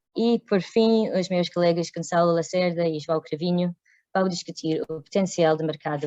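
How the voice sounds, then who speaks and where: A woman speaks with a non-native accent, in a fairly low pitch and with fairly even intonation. Her tone is dark and mellow, and the sound is dry and close with no echo. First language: not Portuguese (speaking Portuguese). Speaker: workshop moderator. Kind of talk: workshop introduction. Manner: halting, many hesitations.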